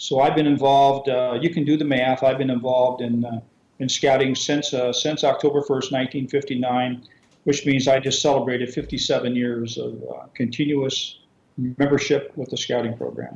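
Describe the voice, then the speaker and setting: At a moderate pace, a man speaks in a monotone, flat way at a medium pitch. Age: 60s. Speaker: scouting organisation executive. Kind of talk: interview. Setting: remote call to radio show.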